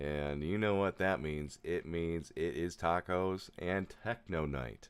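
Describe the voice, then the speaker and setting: A man's booming, very deep, low voice moves at a very slow pace. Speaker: music producer livestreamer. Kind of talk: live stream tutorial. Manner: casual, hesitant with fillers.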